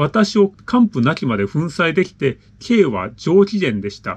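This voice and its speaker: A man speaks with a high pitch and very wide pitch swings. His pace is fairly slow. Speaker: channel host reading listener letters. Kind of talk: reading aloud a listener letter with commentary. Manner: casual, filler-heavy commentary. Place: home room.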